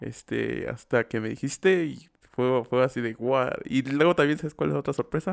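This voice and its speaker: Recorded dry and close with no echo, a man with a Mexican accent talks at a moderate pace. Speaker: podcast co-host. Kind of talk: casual chat.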